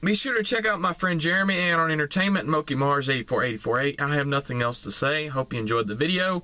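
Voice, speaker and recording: A man speaks at a very fast pace with hardly any pauses. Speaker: gaming reaction vlogger. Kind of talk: casual vlog chat. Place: car. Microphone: phone near.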